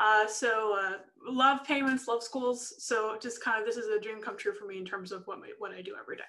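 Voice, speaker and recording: A woman speaks at a fairly quick pace with a fairly high pitch and a bright, sharp tone. The background is quiet. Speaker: software sales manager presenting; presenter. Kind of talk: webinar presentation. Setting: video call webinar. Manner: fast; hesitant, many fillers. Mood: friendly, upbeat. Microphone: video call.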